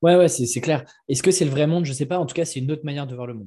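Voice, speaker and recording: The man speaks with ordinary pitch variation. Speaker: entrepreneur, media creator for freelancers. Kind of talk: casual interview. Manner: hesitant, many fillers.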